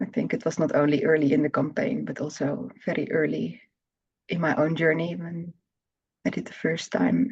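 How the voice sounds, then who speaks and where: A woman speaks at a moderate pace in a very deep, low voice with vocal fry. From Netherlands. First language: Dutch. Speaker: therapy practitioner. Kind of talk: interview. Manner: halting.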